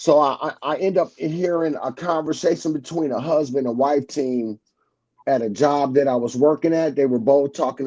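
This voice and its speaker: In a dark, mellow tone, a man speaks at a moderate pace with a fairly high pitch and fairly even intonation. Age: 60s. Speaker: truck driver. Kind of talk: casual chat.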